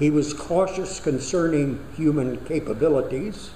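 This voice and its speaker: Amid noticeable background noise, a man with a fairly high pitch speaks at a fairly slow pace with lively intonation. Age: 80s+. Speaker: Unitarian Universalist minister. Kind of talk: sermon.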